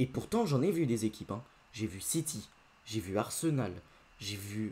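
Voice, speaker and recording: A somewhat breathy man at a medium pitch and a moderate pace. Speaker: football YouTuber. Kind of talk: post-match football debrief. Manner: casual, hesitant with many fillers.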